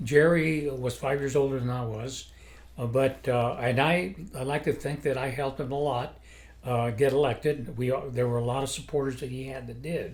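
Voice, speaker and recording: Audible room echo surrounds a man speaking at a moderate pace and medium pitch. His voice is somewhat breathy, with fairly even intonation. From New Mexico, Las Cruces. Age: 80s+. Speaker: retired judge. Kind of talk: interview. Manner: halting.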